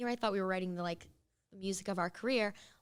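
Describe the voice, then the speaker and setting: A woman with a Californian accent, animated in tone, at a medium pitch with ordinary pitch variation, on a very clean recording with a silent background. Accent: Californian American English. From Los Angeles, San Fernando Valley. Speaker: singer and radio host. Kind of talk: interview. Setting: studio.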